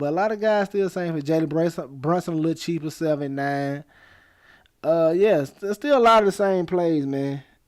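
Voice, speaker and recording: A man with an Alabama accent, fairly high-pitched, with ordinary pitch variation and a moderate pace. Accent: US Southern (Alabama). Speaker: fantasy sports streamer. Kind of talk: live stream Q&A. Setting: live stream. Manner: casual.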